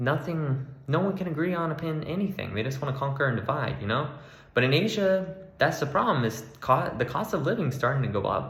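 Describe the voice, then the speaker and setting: A man with an American accent and fairly high pitch talks at a fairly quick pace amid audible room echo and noticeable background noise. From Florida, US. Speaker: travel vlogger. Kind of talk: casual vlog monologue. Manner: casual, hesitant with fillers.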